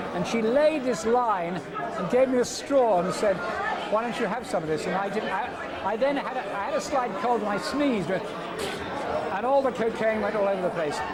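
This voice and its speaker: Over crowd noise and audible room echo, a man speaks at a moderate pace, his high pitch showing ordinary variation. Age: 60s. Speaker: former radio DJ and comedian. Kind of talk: interview. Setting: reunion event. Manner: hesitant, repeating words.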